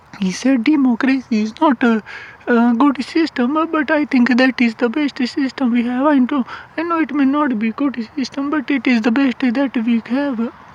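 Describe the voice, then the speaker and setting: The pace is moderate. Noticeable noise sits in the background. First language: not English. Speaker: YouTuber commentator. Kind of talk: casual monologue vlog. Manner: halting, many fillers.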